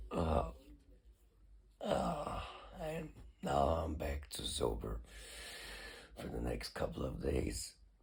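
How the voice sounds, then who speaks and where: A man at a very slow pace with long, frequent pauses, plus audible room echo. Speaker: vlogger on recovery and meditation. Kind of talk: personal video diary. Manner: halting.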